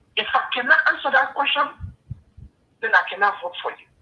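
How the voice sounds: At a fairly quick pace, a man speaks at an extremely high pitch with lively intonation and a husky, rough edge.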